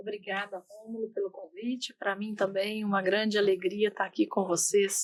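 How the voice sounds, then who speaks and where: A woman's medium-pitched voice at a fairly slow pace with fairly even intonation. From Brazil, southern Minas Gerais. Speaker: company executive. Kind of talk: interview.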